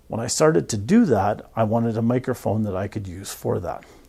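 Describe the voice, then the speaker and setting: A soft-spoken man talks at a fairly quick pace with a medium pitch. His intonation is lively. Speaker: professional photographer. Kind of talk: casual vlog talk. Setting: studio.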